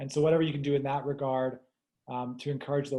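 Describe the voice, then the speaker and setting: With an American accent, a man talks in a monotone, flat intonation. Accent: sounds American. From outside the US. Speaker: panelist on agriculture. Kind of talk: panel discussion.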